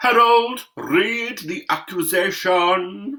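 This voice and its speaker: Delivered at a very slow pace, the put-on character voice sits at a fairly high pitch and has a pompous tone. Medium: read story. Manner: pompous, peremptory.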